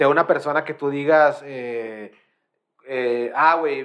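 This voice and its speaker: A man speaks with a Mexican accent against a quiet background. His pitch is fairly high and varies in an ordinary way. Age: 20s. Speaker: podcast host. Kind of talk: casual chat. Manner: animated.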